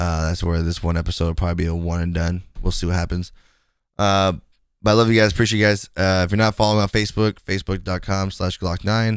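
In a very clean recording with a silent background, a man with a very deep, low pitch speaks at a very fast pace in a monotone, flat intonation. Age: 20s. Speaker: gaming streamer and podcast host. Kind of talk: casual solo podcast monologue.

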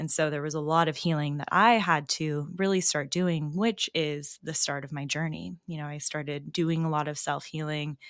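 With a very deep, low pitch and fairly even intonation, a woman speaks in a dry, close sound with no echo. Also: very clean recording, silent background. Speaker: psychic medium and intuitive healer. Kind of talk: casual interview chat. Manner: soft-spoken.

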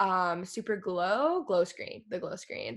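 Speaking at a moderate pace, a woman has an unremarkable speaking voice with an American accent and medium pitch. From Texas. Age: 20s. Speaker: YouTuber and podcaster. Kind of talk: casual interview.

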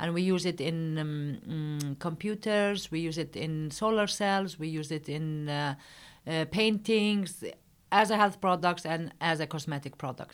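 A woman with an Arabic accent, fairly low in pitch, at a fairly slow pace. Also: ordinary pitch variation. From Palestine. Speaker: company founder, engineer. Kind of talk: interview. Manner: halting.

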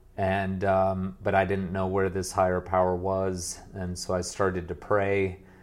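A man talks with a very deep, low pitch and hardly any pauses. His intonation stays monotone and flat. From US, moved between states. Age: 40s. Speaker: former pastor turned business coach. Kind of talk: interview conversation.

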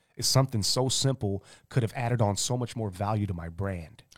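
A man's fairly quick, fairly low voice, an unremarkable speaking voice with ordinary pitch variation, dry and close with no echo, on a very clean recording with a silent background. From St. Louis, Missouri (moved from Romania at age 6). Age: 30s. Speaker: hip-hop artist. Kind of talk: casual interview. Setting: live stream.

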